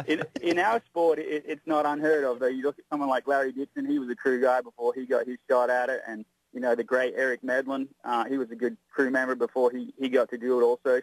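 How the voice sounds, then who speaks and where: A man with an Australian accent talks at a fairly quick pace in a medium pitch. His intonation is fairly even, and the sound is dry and close with no echo. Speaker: drag racing driver. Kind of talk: interview.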